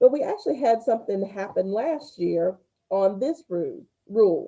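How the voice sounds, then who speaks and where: Speaking in a Southern US accent, a woman has a dark, mellow tone at a medium pitch. She goes at a fairly slow pace with ordinary pitch variation. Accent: Southern twang. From US South. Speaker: school spelling bee organizer. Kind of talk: event announcements to students. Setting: livestreamed video call.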